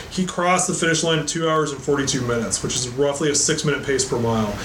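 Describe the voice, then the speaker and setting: A man rushes through his words at a very fast pace as noticeable noise sounds behind him. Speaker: podcast co-host, military veteran. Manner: profane, casual.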